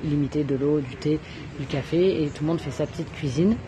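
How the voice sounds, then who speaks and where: Fairly even intonation, with noticeable background noise. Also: woman. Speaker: travel vlogger. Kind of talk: casual vlog tour. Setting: coworking space in Bali.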